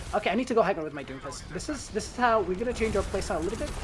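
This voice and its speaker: A woman's fairly high pitch with lively intonation, amid noticeable background noise. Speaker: gaming content creator. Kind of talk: gameplay commentary tutorial. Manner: fast; animated.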